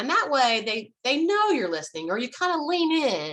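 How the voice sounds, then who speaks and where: A woman talks at a fairly quick pace in a bright, sharp tone. Her pitch swings are very wide. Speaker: marriage coach. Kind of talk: tutorial. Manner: fast.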